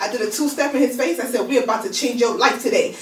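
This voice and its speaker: A woman with a New York accent speaks at a very fast pace and a high pitch, with audible room echo and noticeable background noise. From Brooklyn, New York. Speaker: magazine founder. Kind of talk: radio interview. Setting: radio studio.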